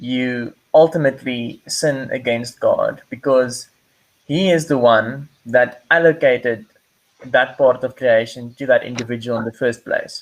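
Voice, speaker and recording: Speaking at a fairly slow pace, a man uses a medium pitch and fairly even intonation. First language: not English. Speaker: podcast host. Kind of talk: casual discussion. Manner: halting, frequent repetitions.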